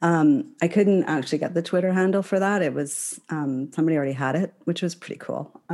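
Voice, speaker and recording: Hardly pausing, a woman with a fairly low pitch speaks in a dark, mellow tone. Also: ordinary pitch variation, fairly quick pace. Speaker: author and independent scholar. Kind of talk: casual interview chat. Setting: remote recording. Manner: halting, many fillers.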